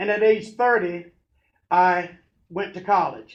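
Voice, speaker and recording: Loud and at a fairly slow pace, a man talks with a high pitch. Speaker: pastor and motivational speaker. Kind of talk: motivational talk.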